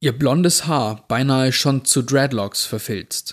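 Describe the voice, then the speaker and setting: At a fairly slow pace, a man speaks with a plain, everyday voice, medium pitch and ordinary pitch variation, recorded very cleanly against a silent background. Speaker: podcast host reading creepypasta. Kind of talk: scripted horror story narration, read aloud. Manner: slow, suspenseful, hushed storytelling pace; atmospheric, tense, building dread.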